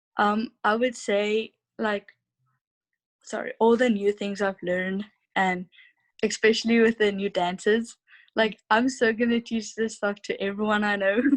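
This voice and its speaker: With a South African accent, a woman speaks at a fairly high pitch and a fairly slow pace. Her intonation is monotone and flat, with long, frequent pauses. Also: dry, close sound with no echo. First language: Afrikaans. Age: 20s. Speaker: au pair. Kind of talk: interview.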